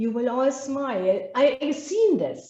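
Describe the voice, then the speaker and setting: A woman speaks with a German accent at a high pitch. There is audible echo from the room. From Germany. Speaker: business trainer. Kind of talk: masterclass lecture. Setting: live online webinar.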